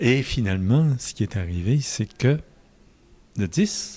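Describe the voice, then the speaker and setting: Somewhat breathy speech moves at a very slow pace while the pitch swings very widely. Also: man. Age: 70s. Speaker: Marianist missionary priest. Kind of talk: interview answer.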